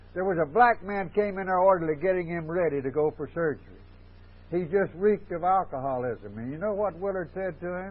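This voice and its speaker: A man with an American accent, high pitch, fairly quick pace, and ordinary pitch variation. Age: 70s. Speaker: AA speaker. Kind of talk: recovery talk.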